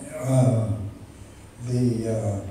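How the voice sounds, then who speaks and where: A man speaks with ordinary pitch variation in a room with strong echo, over light background noise. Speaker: retired machinist. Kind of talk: interview answer. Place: hall. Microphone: camera far.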